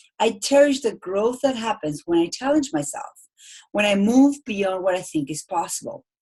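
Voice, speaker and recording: With an Argentine accent, a woman speaks at a moderate pace and medium pitch, her voice making very wide pitch swings. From Argentina. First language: Spanish. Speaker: speaking coach. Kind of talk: webinar presentation. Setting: online webinar.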